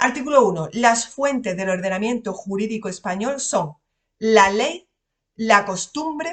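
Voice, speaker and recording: A woman's fairly high voice in an Andalusian accent, at a fairly slow pace, with lively intonation. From Andalusia, Spain. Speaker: lawyer and exam-prep teacher. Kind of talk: lecture. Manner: casual, conversational.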